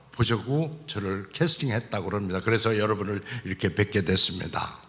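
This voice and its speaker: Pitch swings very widely as a man speaks at a fairly slow pace. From South Chungcheong, Korea (Cheongyang). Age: 60s. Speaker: church elder giving testimony. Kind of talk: testimony.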